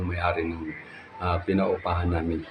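A man's very deep, low voice comes out somewhat breathy and in monotone, flat intonation. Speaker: vlogger and street food vendor. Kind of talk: casual vlog house tour. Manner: halting, frequent fillers.

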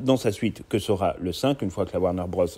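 A man speaks in a dark, mellow tone at a moderate pace with ordinary pitch variation. The recording is very clean, with a silent background. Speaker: YouTube film commentator. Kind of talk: video commentary.

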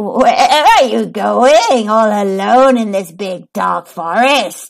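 A put-on character voice growls at a fairly high pitch and a very slow pace. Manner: growling, sly.

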